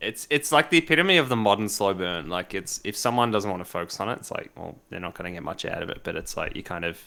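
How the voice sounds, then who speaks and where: A man with an Australian accent talks at a very fast pace with hardly any pauses, his fairly low voice bright and sharp. His pitch swings very widely, and his loudness rises and falls a lot. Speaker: live stream talk show host. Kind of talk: casual chat. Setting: live stream. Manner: animated.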